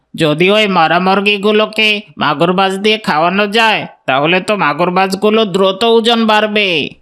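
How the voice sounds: The voice is a cartoonish character voice at a middle pitch. It moves at a moderate pace.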